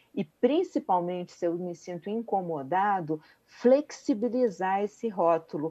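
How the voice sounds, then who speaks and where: At a very slow pace, a woman speaks at a medium pitch in a calm, dark, mellow tone with lively intonation. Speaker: family therapist. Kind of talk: radio interview. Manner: halting.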